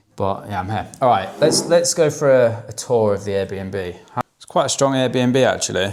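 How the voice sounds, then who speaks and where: With an English accent, a man talks at a moderate pace in a medium pitch, his intonation lively. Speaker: online fitness coach. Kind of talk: vlog, casual talk to camera. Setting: indoors, rented apartment.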